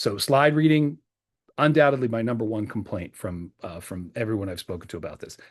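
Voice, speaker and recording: A man with a US Northeastern accent speaks at a fairly quick pace in a medium pitch, his loudness swinging widely and his intonation lively. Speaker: presentation skills trainer. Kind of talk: training video. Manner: louder, clearer, enunciated; fast.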